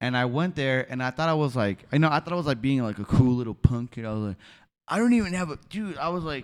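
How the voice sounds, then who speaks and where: On a very clean recording with a silent background, a man with a medium pitch talks at a very fast pace with lively intonation. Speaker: podcast host. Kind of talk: casual chat. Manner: loud; animated.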